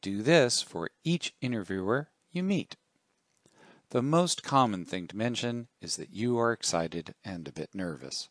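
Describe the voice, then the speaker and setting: Speaking at a fairly slow pace, a man uses a medium pitch with very wide pitch swings and big swings in loudness, in a dry, close sound with no echo. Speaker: career coach and tech columnist. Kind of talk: reading aloud a written column. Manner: measured, instructional.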